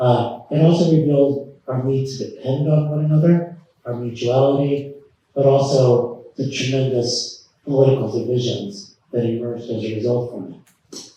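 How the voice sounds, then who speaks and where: Medium-pitched male voice with big swings in loudness and audible room echo. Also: fairly even intonation, moderate pace. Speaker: professor and author. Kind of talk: lecture. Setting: stage with audience.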